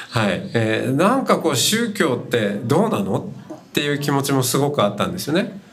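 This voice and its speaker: Fairly high-pitched male speech at a fairly quick pace, very wide pitch swings, and noticeable background noise. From Hokkaido, Japan. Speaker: Buddhist monk and podcast host. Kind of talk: talk at a live event. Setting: university festival stage with audience.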